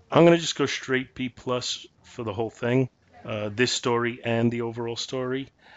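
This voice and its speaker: A man speaks in an unremarkable speaking voice with fairly even intonation. His pitch is medium and his pace moderate. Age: 50s. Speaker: comic book podcast co-host. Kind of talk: casual chat.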